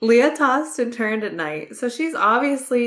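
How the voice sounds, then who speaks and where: A woman speaks with lively intonation in a plain, everyday voice. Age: 20s. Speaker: book podcast co-host. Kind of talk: casual chat.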